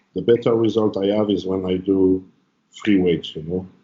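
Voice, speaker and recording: Speaking at a moderate pace, a man with a French accent uses a fairly low pitch and fairly even intonation. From France. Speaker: bodybuilder and trainer. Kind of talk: casual interview.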